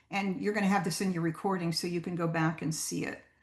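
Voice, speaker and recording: A woman talks with a noticeable vocal fry. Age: 70s. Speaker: guest speaker on audiobooks. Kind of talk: presentation. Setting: video call. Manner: hesitant, many ums.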